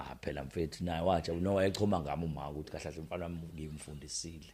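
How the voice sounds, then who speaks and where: A man talks at a very fast pace with very deep, low pitch and vocal fry. His tone is dark and mellow, and his intonation stays fairly even. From South Africa, KwaZulu-Natal. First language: Zulu. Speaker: radio presenter. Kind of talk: interview. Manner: casual, code-switching Zulu and English.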